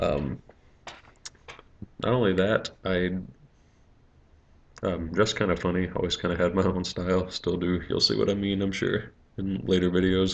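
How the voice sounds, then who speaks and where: With an American accent, the speaker keeps a moderate pace and fairly even intonation, stopping for long, frequent pauses. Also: man, very deep, low pitch for a man. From US West Coast. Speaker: vlogger. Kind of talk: personal video message. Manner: hesitant, many fillers.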